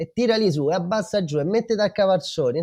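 Against a quiet background, a man talks in a dark, mellow tone with lively intonation. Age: 30s. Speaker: father of two, parenting social media creator. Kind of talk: casual chat.

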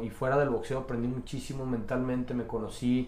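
A man with a Mexican accent talks very fast at a medium pitch. Noticeable background noise and audible room echo surround him. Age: 30s. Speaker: amateur boxer. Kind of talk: casual interview.

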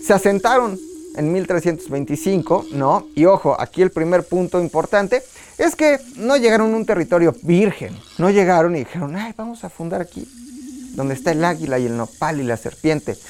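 In a central Mexican accent, a man speaks at a moderate pace in an animated tone, his high pitch making very wide swings. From Tula, Hidalgo, Mexico. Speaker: history podcast host. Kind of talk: casual comedic history storytelling.

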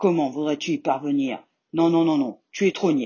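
A woman's very deep, low pitch with lively intonation. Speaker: storyteller reading a tale aloud. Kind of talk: fairy-tale audiobook reading for children, scripted narration.

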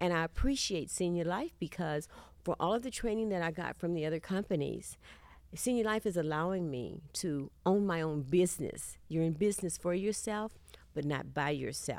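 A woman with a Texan accent speaks at a moderate pace, her fairly low voice showing ordinary pitch variation, on a very clean recording with a silent background. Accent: Southern US, Texan. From Texas, Houston. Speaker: insurance agent. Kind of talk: interview testimony.

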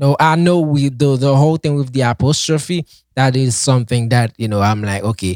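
A man with a Haitian accent speaks at a moderate pace with lively intonation, his voice dry and close with no echo on a very clean recording over a silent background. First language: Haitian Creole. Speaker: podcast co-host teaching Haitian Creole. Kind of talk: casual chat.

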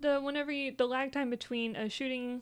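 A woman talks very fast. Her voice sits high in pitch. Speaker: streamer. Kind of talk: casual chat about video games.

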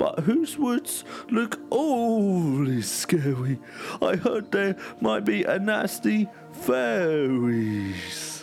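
A man speaks in a put-on character voice at a very slow pace, fairly high in pitch, with clear music playing in the background. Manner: doom and gloom.

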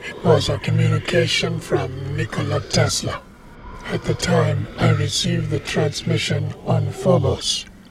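Noticeable background noise sits behind a man's voice. He speaks at a fairly slow pace. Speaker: audio drama actor voicing minor characters. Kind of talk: scripted audio drama dialogue.

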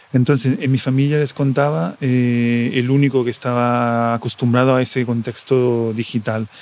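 With hardly any pauses, a man speaks at a moderate pace and medium pitch, keeping very even loudness and fairly even intonation. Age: 40s. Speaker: podcaster. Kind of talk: personal audio diary monologue. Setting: airport waiting area. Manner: halting, many fillers and repetitions.

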